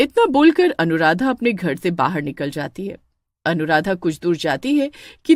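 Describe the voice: Someone is plainly reading aloud against a quiet background.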